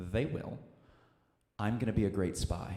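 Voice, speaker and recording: Amid audible room echo, a man with an American accent speaks in a fairly low, somewhat breathy, animated tone with ordinary pitch variation. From Missouri. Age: 20s. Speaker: comedian. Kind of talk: stand-up. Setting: stage with audience.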